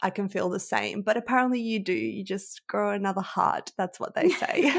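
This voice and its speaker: The speaker is a woman with an Australian accent. She keeps a fairly quick pace. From Australia (arrived at nine from Europe). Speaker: sales coach. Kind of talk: interview podcast.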